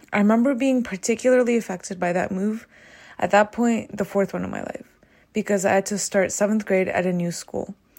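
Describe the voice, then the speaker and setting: A woman with a General American accent, medium in pitch, fairly even in intonation, at a fairly quick pace. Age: 20s. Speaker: economics PhD student, podcaster. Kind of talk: solo monologue, partly scripted.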